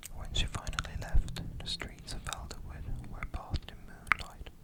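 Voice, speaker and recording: The voice is whispering. Noticeable background noise is present. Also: man. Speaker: ASMR creator. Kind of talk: sleep story, bedtime story reading. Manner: whispered, soft-spoken.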